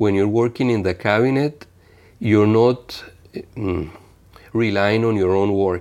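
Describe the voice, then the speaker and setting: A man with a Spanish accent and a fairly low voice speaks at a moderate pace with fairly even intonation. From Venezuela, small province. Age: 50s. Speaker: international trade official. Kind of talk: interview. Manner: halting, many fillers and repeats.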